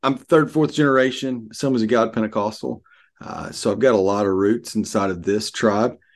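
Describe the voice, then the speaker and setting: Against a quiet background, a man with a Southern US accent talks at a fairly quick pace with ordinary pitch variation. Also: medium pitch for a man. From Arkansas, US South. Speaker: pastor. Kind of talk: casual interview.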